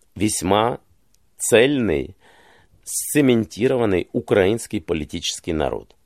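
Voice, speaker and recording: Lively intonation colors a man's talk, an ordinary speaking voice at a moderate pace. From Ukraine, Kyiv. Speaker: journalist and political commentator. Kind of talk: interview.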